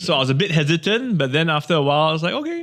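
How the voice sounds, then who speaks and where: A man's high-pitched voice at a very fast pace, lively in intonation, over noticeable background noise. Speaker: TV presenter. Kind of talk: interview.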